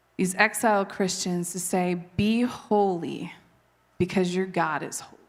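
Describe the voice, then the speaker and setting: A woman speaks at a medium pitch and a fairly slow pace, with fairly even intonation. Her loudness swings widely, and room echo is audible. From Canada. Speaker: preacher. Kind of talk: sermon.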